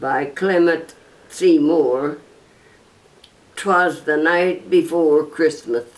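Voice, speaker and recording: Over noticeable background noise, a woman with a fairly low pitch speaks with lively intonation. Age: 80s+. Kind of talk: casual talk to camera.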